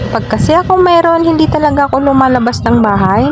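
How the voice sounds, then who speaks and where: A woman speaks at a high pitch with very wide pitch swings and a fairly quick pace. Noticeable background noise runs underneath. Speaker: vlogger. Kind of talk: vlog voice-over. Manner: casual, chatty.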